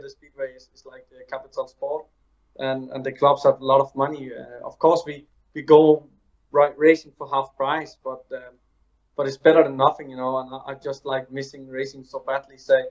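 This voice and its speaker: A man with a Danish accent, fairly high pitch, big swings in loudness and a moderate pace. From Denmark. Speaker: speedway rider. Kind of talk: interview. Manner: halting.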